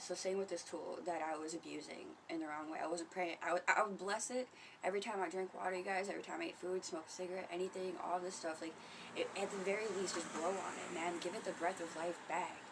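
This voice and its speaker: Soft-spoken and fairly quick, a woman talks at a medium pitch in a monotone, flat intonation over noticeable background noise. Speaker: spiritual vlogger. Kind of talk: casual livestream monologue. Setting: home. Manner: casual, profane.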